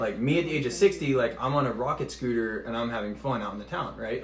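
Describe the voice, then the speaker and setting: With an American accent, a man speaks in an ordinary speaking voice at medium pitch and a fairly quick pace, with ordinary pitch variation. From Texas. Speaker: Marine recruiter. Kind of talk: casual chat.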